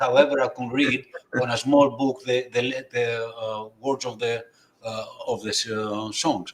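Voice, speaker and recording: With noticeable background noise behind him, a man speaks at a medium pitch and a fairly slow pace in a monotone, flat intonation. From Greece. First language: Greek. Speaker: astrophotography presenter, community member. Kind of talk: casual group chat on livestream. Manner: halting, hesitant.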